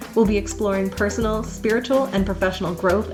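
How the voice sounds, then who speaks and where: Backed by music, a woman talks in a medium pitch. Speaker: spiritual coach and podcast host. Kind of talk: spiritual podcast talk.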